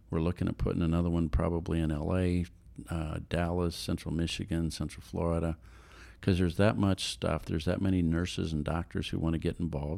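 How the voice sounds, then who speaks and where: Very deep and low in pitch, this man's voice has a dark, mellow tone and fairly even intonation. The recording is very clean, with a silent background. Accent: American. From Colorado (Denver). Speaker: nonprofit CEO. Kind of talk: interview.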